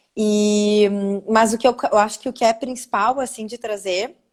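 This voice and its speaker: At a moderate pace, a woman with a southern Brazilian accent speaks in a fairly high pitch with fairly even intonation. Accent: Gaúcho. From southern Brazil, Porto Alegre. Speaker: spiritual therapist. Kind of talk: live video interview.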